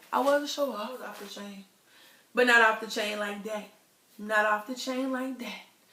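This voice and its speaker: A woman with a fairly high voice speaks in an animated tone, her loudness swinging widely. She leaves long, frequent pauses, and the room echo is audible. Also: moderate pace. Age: 20s. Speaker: vlogger. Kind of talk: casual vlog.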